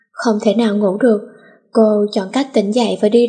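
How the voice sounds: The intonation is fairly even. It is a natural reading voice.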